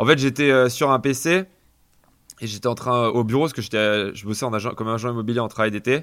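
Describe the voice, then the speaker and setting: Here a man talks at a fairly quick pace. His voice is medium in pitch, with ordinary variation. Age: 20s. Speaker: entrepreneur. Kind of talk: interview conversation. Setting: video call.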